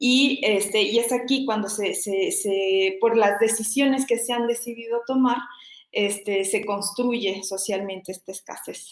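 A woman with a fairly high pitch talks at a fairly slow pace, her pitch varying in an ordinary way. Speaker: doctoral researcher in environmental studies. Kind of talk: interview. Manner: halting, many fillers; passionate.

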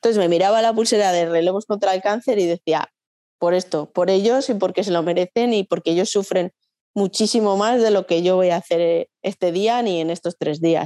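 A woman's dark, mellow voice with a slight Riojan accent, medium in pitch and fairly quick, with ordinary pitch variation and a dry, close sound with no echo. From La Rioja, Spain (Logroño). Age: 40s. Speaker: nurse and amateur runner. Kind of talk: casual interview.

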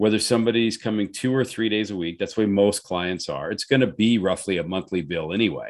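Fairly quick pace from a man with a plain, everyday voice, fairly low in pitch, with ordinary pitch variation. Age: 50s. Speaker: personal trainer and gym owner. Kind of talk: casual chat.

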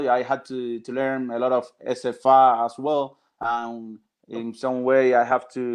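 The background is quiet. A man with a Spanish accent speaks in a monotone, flat intonation. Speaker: religious practitioner and translator. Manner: halting.

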